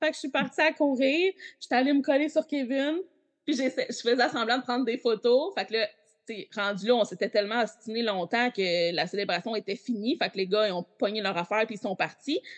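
Against a quiet background, a woman with a fairly high pitch and lively intonation speaks at a moderate pace, the sound dry and close with no echo. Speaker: Backstreet Boys superfan. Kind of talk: casual chat.

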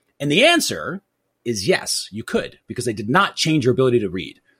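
At a fairly quick pace, a man talks with vocal fry and very wide pitch swings. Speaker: podcast guest, marketing measurement expert. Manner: fast talker.

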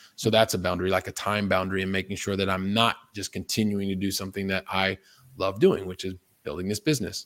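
Very deep and low, a man's voice with a General American accent runs at a very fast pace in a monotone, flat delivery. The sound is dry and close with no echo, on a very clean recording with a silent background. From US Midwest, Columbus, Ohio. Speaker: investor and money coach. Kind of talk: interview conversation.

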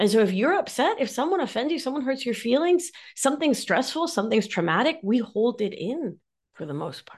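A high-pitched woman at a fairly quick pace, with very wide pitch swings and big swings in loudness, over a quiet background. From Argentina, Mar del Plata. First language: Spanish. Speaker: nurse practitioner and somatic life coach. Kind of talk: interview conversation. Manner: animated.

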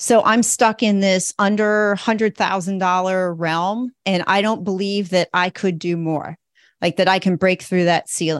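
A woman with a plain, everyday voice speaks at a medium pitch and a fairly slow pace, her intonation fairly even. The sound is dry and close with no echo, and the background is quiet. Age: 50s. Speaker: educator turning to financial advising. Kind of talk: coaching session.

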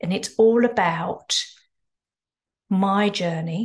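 This woman's voice is somewhat breathy. Its pitch varies in an ordinary way. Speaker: podcast host. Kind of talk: podcast intro and outro.

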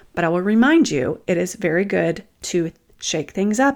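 In a Southern US accent, a woman speaks with a warm tone at a fairly low pitch. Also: very clean recording, silent background. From US South. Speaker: empath coach and podcaster. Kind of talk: guided meditation and coaching talk. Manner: warm, conversational.

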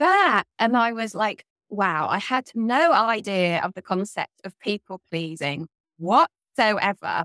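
With a southern English accent, a woman speaks very slowly at medium pitch. Her tone is bright and sharp, and the sound is dry and close with no echo. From southern England. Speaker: guest, ethical living advocate. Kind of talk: casual interview chat.

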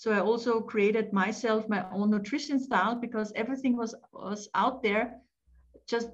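In an Austrian accent, a woman speaks at a fairly high pitch. Her voice is somewhat breathy. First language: German. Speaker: family therapist and life coach, author. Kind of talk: casual interview chat.

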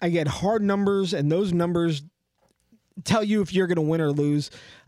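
The sound is dry and close with no echo as a man with a high voice speaks at a moderate pace and with ordinary pitch variation. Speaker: friend interviewing the host, podcaster. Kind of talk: casual interview.

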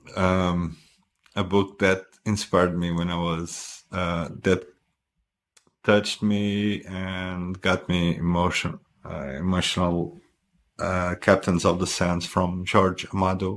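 A man with a Portuguese accent talks at a very slow pace in a very deep, low pitch. His intonation is monotone and flat, on a very clean recording with a silent background. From Portugal. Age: 40s. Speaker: husband and guest. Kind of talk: casual chat, interview. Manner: halting, hesitant with fillers.

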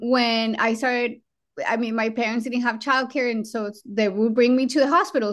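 The speaker has a Colombian accent and fairly even intonation. The background is quiet. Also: woman. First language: Spanish. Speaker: trauma surgeon and program director. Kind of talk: interview conversation.

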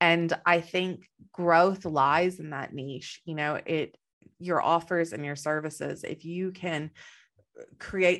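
A woman speaks with a slight Texan accent. The recording is very clean, with a silent background. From Texas. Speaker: business coach. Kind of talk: interview.

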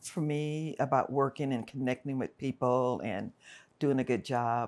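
On a very clean recording with a silent background, a woman with an American accent talks at a fairly slow pace. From South Central Los Angeles (Watts, Compton). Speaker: retired theme park manager. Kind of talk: interview conversation.

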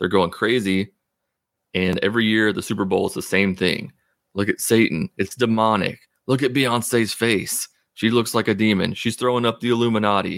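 Recorded very cleanly against a silent background, a man with an unremarkable speaking voice talks at a moderate pace, his medium pitch following a fairly even intonation. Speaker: atheist podcast host.

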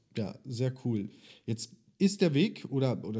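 Medium in pitch, a man's voice has a dark, mellow tone. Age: 30s. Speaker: podcast host and business coach. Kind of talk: interview; sales pitch.

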